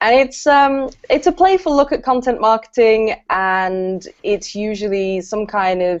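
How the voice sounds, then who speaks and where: Speaking in a southern English accent, a woman has a fairly high pitch and lively intonation, with a fairly slow pace and hardly any pauses. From southern England, Brighton. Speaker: copywriter and content trainer. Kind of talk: casual interview chat.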